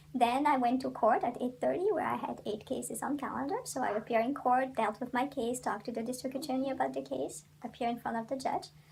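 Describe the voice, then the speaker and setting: A woman talks at a very fast pace in a high voice, with lively intonation, hardly any pauses, and noticeable background noise. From Belgium. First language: French. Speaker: criminal defense attorney. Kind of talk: interview. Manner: hesitant, many fillers.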